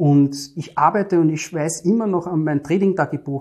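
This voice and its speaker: With a Viennese accent, a man speaks at a fairly high pitch in a dark, mellow tone with fairly even intonation. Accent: Viennese Austrian German. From Austria, Vienna. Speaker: entrepreneur and trading client. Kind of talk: interview.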